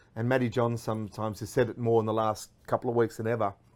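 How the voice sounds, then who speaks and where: In an Australian accent, a man talks at a fairly quick pace and medium pitch. The recording is very clean, with a silent background. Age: 40s. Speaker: radio host. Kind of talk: casual chat. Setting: studio.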